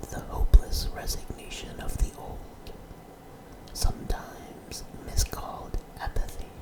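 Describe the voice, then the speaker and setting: A man whispers at a fairly slow pace. Noticeable background noise is present. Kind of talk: ASMR whispered story reading. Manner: whispered.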